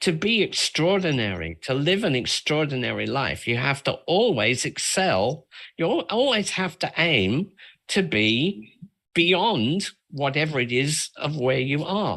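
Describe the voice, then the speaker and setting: Over a quiet background, the speaker uses a bright, sharp tone with vocal fry, very wide pitch swings and very even loudness at a fairly slow pace. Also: man. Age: 70s. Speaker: makeup artist. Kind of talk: interview. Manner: halting.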